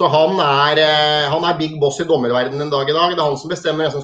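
A man's very fast, flat monotone over a quiet background. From Norway, Hamar; Norway. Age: 40s. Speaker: former football and ice hockey referee; interview guest. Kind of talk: interview. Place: home room. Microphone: video call.

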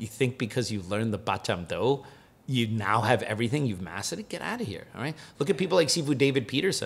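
At a very fast pace, a man with a medium, somewhat breathy voice sounds animated, his pitch swinging very widely. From Cuban-American, US. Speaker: martial arts instructor and podcast host; martial arts instructor, podcast host. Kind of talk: casual chat. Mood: joking, animated. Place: home room. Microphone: studio mic.

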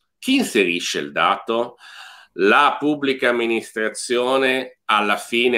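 With a bright, sharp tone and lively intonation, a man speaks very slowly at a medium pitch. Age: middle-aged. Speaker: podcast host. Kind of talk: casual chat.

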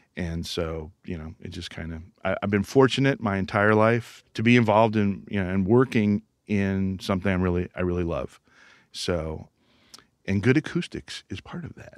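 A man's fairly low voice with ordinary pitch variation at a moderate pace, against a quiet background with dry sound and no echo. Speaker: guest. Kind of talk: interview answer. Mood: enthusiastic, friendly. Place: studio.

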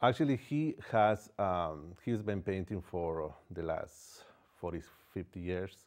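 A man with a Spanish accent speaks at a fairly slow pace in a very deep, low voice, with ordinary pitch variation, long and frequent pauses, and a quiet background. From Ecuador. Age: 40s. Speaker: painter. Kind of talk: interview. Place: studio. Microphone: lapel.

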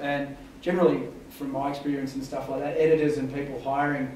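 There is audible room echo and light background noise. A man speaks at a fairly quick pace. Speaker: guest, journalist. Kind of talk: talk to students. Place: hall. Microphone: camera far.

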